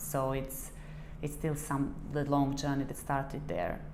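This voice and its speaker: In a Serbian accent, a woman speaks at a fairly slow pace with a very deep, low pitch. Her tone is dark and mellow, and audible room echo surrounds her. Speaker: fashion designer. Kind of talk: interview. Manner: halting, many fillers.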